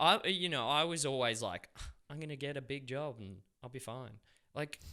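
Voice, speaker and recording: At a moderate pace, a man with an Australian accent and a fairly high pitch speaks with ordinary pitch variation and big swings in loudness. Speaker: actor and filmmaker, former carpenter. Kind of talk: casual interview chat. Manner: halting, many repeated words.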